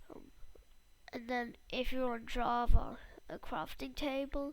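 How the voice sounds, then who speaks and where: The speech is delivered at a very slow pace. Room echo is audible. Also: woman. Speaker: Minecraft tutorial youtuber. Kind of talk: tutorial. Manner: halting.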